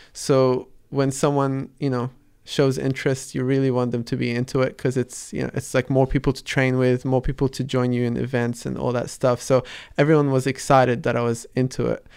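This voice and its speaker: A monotone, flat delivery at a fairly quick pace, with a slight American accent, on a very clean recording with a silent background. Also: man, medium pitch for a man. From Dubai-born, Palestinian parents, raised in Sydney from 11. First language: Arabic. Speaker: artist and street dancer. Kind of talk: interview. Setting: radio studio. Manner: halting, many fillers and repetitions.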